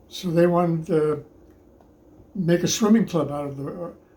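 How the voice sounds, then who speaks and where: A man's high voice at a moderate pace, with ordinary pitch variation and audible room echo. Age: 90s. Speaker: handball player and club member. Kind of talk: interview. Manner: halting.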